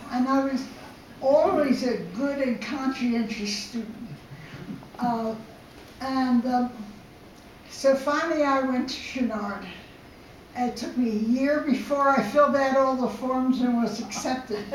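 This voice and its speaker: A woman speaks in a high voice at a fairly slow pace, with long, frequent pauses. Her intonation stays fairly even over noticeable background noise. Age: 80s+. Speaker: ceramic artist. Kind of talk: talk to an audience.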